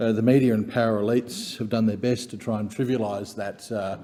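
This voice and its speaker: A man with an Australian accent, dark and mellow in tone, fairly low in pitch, fairly quick in pace, with fairly even intonation. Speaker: member of parliament. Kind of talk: parliamentary speech. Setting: parliament chamber.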